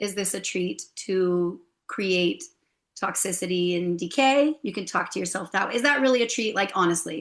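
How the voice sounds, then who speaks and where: In an American accent, a woman with an unremarkable speaking voice talks at a moderate pace and medium pitch, her intonation lively, against a quiet background. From United States. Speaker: hypnotherapist and holistic health coach. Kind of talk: interview.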